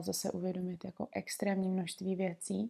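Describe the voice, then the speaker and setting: A woman's calm voice at a medium pitch with a dark, mellow tone and monotone, flat intonation, in a very clean recording with a silent background. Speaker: podcast host, aromatherapist and herbalist. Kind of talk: reflective solo monologue. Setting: recording at home in bed. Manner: very slow.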